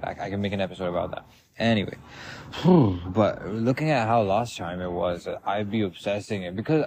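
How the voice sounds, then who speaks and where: A loud man talks at a fairly quick pace. His pitch is fairly low. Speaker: podcast host. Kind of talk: casual monologue. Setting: outdoors in a park. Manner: rambling with fillers.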